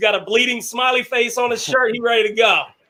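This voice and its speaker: This loud voice moves along at a fairly quick pace. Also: man. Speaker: show host. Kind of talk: casual debate discussion.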